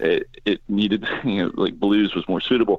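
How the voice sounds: Speaking with fairly even intonation, a man keeps a moderate pace at a fairly low pitch.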